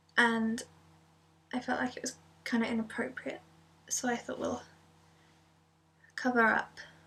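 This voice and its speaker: A soft-spoken woman with an English accent, a moderate pace and long, frequent pauses. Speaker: ASMR youtuber. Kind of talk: casual vlog update. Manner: many filler ums.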